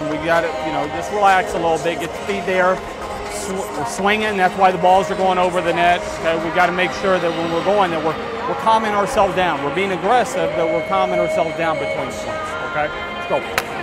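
The speech moves at a fairly quick pace over loud music in the background. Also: dry sound with no echo. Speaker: volleyball head coach. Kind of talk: coaching instructions. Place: hall. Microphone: lapel.

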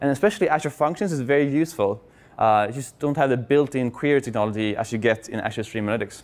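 A man with a Swedish accent, fairly quick in pace, with ordinary pitch variation. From Sweden. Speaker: software consultant and conference speaker; conference speaker. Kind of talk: conference talk. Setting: stage with audience. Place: hall.

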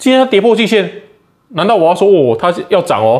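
In a quiet background, a man with a high pitch talks in an animated tone at a fairly quick pace, his pitch swinging very widely. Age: 30s. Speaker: stock market YouTuber. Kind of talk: casual market commentary. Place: home room. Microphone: phone near.

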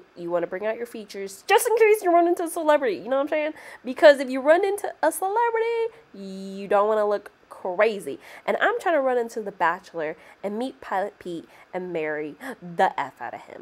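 A woman speaks at a fairly quick pace in a high voice, with very wide pitch swings and big swings in loudness. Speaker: beauty vlogger. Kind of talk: tutorial. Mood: playful, joking. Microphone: phone near.

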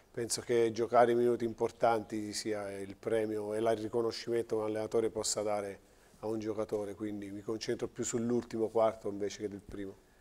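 With a dark, mellow tone, a man talks fairly quickly in a fairly low pitch and a monotone, flat intonation. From Teramo, central Italy; central Italy. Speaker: basketball coach. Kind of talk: TV studio interview. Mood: calm, thoughtful. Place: studio. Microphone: lapel.

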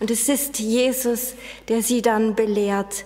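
The woman talks at a very slow pace. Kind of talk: sermon. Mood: calm, earnest. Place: church.

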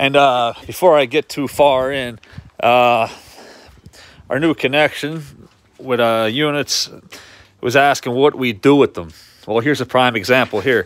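The speech moves at a fairly slow pace with long, frequent pauses, ordinary pitch variation, and a dry sound with no echo. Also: man. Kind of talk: casual vlog chat. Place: garage. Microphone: phone near.

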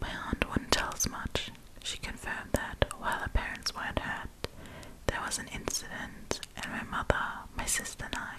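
A woman whispering, soft-spoken, at a moderate pace amid loud background noise. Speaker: storyteller. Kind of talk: soft-spoken story reading. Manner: close, soft ASMR whisper. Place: home room. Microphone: studio mic.

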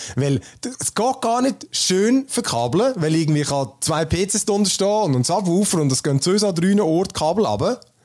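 With noticeable background noise behind him, a man speaks at a fairly quick pace, his pitch swinging very widely. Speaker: tech podcast host. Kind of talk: casual chat. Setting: standing at desk, home recording.

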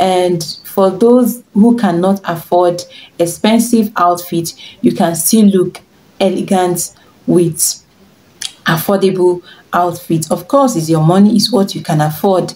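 A woman with a Nigerian accent keeps a very even loudness and leaves long, frequent pauses. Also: ordinary pitch variation, fairly slow pace. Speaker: fashion and lifestyle vlogger; lifestyle vlogger. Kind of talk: tutorial. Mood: warm, encouraging.

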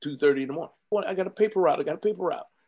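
Against a quiet background, a man with an American accent speaks with lively intonation. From Compton, California. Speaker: entertainment lawyer. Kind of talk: interview, life story. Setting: video call. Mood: heartfelt storytelling. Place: office.

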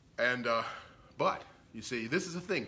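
This man's tone is bright and sharp. His intonation stays lively. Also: medium pitch for a man, moderate pace.

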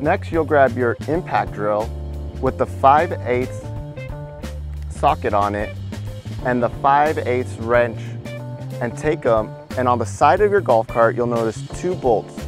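The speech comes at a fairly slow pace with long, frequent pauses. Music is clearly heard behind it, and the sound is dry with no echo. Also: man. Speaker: installer demonstrating. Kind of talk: tutorial.

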